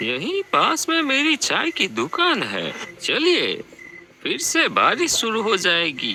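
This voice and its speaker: This put-on character voice has a high pitch. It moves at a very slow pace. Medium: read story. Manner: polite, deferential, insistent.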